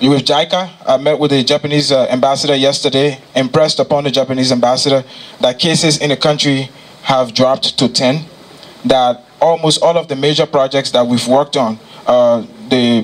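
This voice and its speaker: Moving at a fairly quick pace, a man keeps fairly even intonation and very even loudness. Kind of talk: presentation speech. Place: hall. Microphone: handheld.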